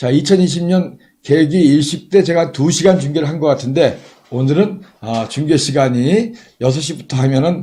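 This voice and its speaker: The voice is dark and mellow, somewhat breathy, with ordinary pitch variation and a moderate pace. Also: man, fairly high pitch for a man. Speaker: astronomy livestream commentator. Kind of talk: live commentary.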